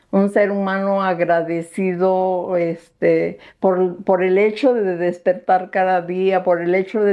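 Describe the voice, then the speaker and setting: A woman with a medium pitch talks fairly slowly, her intonation monotone and flat. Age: 70s. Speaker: herbalist and natural skincare maker. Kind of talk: casual interview chat. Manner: hesitant fillers.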